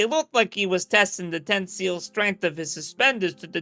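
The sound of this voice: The reading voice sounds unforced. Its pitch variation is ordinary.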